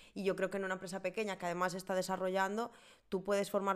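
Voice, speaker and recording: The recording of this woman's medium-pitched voice is very clean, with total silence behind her. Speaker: podcast co-host, travel company booking manager. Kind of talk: casual chat.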